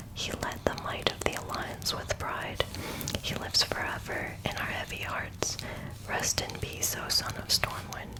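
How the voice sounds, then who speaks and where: Whispering at a moderate pace amid noticeable background noise. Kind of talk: book reading, lore narration. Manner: whispered, soft.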